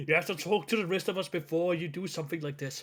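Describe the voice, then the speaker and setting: Putting on a gruff character voice, a man rattles along at a very fast pace in a high pitch. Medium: actual play. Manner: gruff, grumbling.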